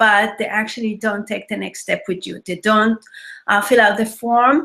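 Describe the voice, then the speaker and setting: Speaking with an Israeli accent, a woman has a fairly high voice with a bright, sharp tone and a moderate pace. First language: Hebrew. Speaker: web designer and marketing trainer. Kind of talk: webinar presentation. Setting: live online webinar with screen share.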